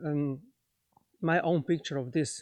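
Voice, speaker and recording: At a fairly slow pace, a man with a Slovenian accent speaks at a fairly high pitch with ordinary pitch variation in a very clean recording with a silent background. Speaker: spiritual teacher. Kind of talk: lecture. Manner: halting, many fillers.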